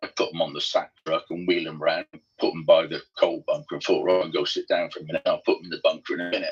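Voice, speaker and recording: Over music in the background, a man talks at a very fast pace with big swings in loudness, the sound dry and close with no echo. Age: 60s. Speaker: gundog trainer guest. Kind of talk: casual chat.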